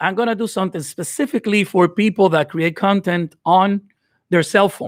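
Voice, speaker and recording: A man with a Dominican accent and a high pitch speaks at a moderate pace with ordinary pitch variation, on a very clean, dry and close recording with no echo and a silent background. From Dominican Republic. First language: Spanish. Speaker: video editing creator. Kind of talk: live stream giveaway tutorial. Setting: live stream. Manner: unscripted, hesitant with fillers.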